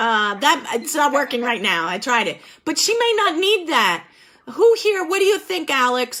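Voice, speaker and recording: A woman speaks in a high, raised and projected voice, animated, with a bright, sharp tone and very wide pitch swings. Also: moderate pace. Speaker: group facilitator. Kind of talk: group discussion session. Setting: video call. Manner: loud.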